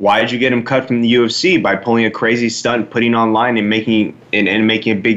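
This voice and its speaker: A man at a fairly quick pace with an American accent and a medium pitch. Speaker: co-host and fighter. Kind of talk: casual banter.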